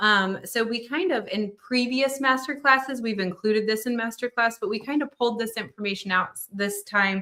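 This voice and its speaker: Talking at a fairly quick pace, a woman uses a fairly high pitch with ordinary variation. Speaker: embroidery class instructor. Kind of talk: live online class. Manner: fast.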